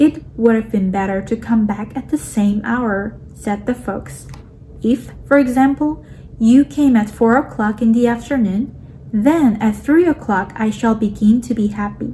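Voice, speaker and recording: A woman speaks fairly slowly with a non-native accent. Her pitch is fairly high, with ordinary pitch variation. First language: not English. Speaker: audiobook reader. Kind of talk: reading aloud.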